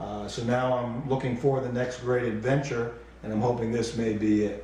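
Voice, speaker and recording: A man with an American accent talks at a moderate pace and medium pitch in a monotone, flat delivery. The recording carries audible room echo and noticeable background noise. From South Florida, Miami Beach. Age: 50s. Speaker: retired police officer. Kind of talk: casual video tour, self-introduction. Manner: casual, conversational with fillers.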